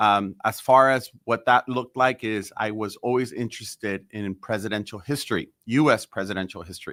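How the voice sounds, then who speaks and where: With a Spanish accent, a man speaks in a bright, sharp tone at a fairly low pitch, fairly even in intonation and with hardly any pauses, in a dry, close sound with no echo on a very clean recording with a silent background. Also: moderate pace. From El Salvador, raised in South San Francisco. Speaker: mayor. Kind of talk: podcast interview. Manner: halting, many fillers and repetitions.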